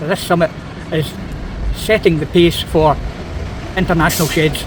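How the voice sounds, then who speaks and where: Against noticeable background noise, a man talks at a fairly quick pace and a fairly high pitch. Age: 60s. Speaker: men's shed member. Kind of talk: interview testimony.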